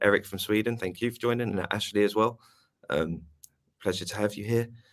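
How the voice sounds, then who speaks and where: With a British accent, a man speaks at a moderate pace and a fairly low pitch. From UK. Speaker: webinar host. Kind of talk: webinar moderation. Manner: hesitant, many fillers.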